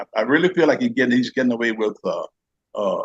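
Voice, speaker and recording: A man talks at a very fast pace in a dry, close sound with no echo. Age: 70s. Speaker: retired postal worker, scam victim. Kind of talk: interview testimony. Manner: halting, many repetitions.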